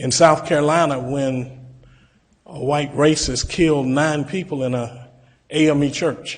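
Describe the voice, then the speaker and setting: A man's somewhat breathy voice at a medium pitch, very slow in pace. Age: 60s. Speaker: pastor. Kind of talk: public comment at a commission meeting. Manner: formal.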